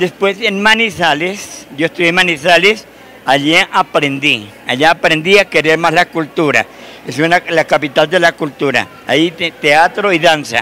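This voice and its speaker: A man's high-pitched voice at a fairly slow pace, with ordinary pitch variation and light background noise. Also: dry sound with no echo. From Colombia, Cundinamarca. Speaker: folk dance director and retired teacher. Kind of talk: TV interview. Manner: halting, repeats words.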